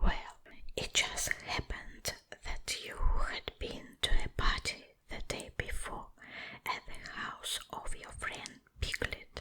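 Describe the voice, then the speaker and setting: Whispering at a very slow pace, the voice sits over noticeable background noise. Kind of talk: bedtime story reading. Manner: soft, whispered.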